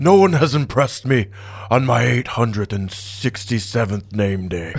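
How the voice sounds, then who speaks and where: Over light background noise, a man uses a put-on character voice at a medium pitch and a moderate pace. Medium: actual play. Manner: self-important, speaks of himself by name.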